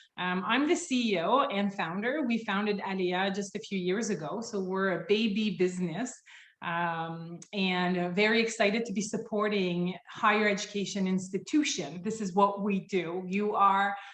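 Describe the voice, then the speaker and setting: A woman with a French accent at a medium pitch, moderate in pace with hardly any pauses and ordinary pitch variation. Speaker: company founder and CEO. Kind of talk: webinar presentation. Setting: video call. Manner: loud.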